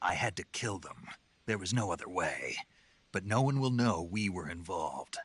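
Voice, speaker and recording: A man's put-on character voice at a fairly low pitch, with ordinary pitch variation and a moderate pace. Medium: video game. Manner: terse, low-key.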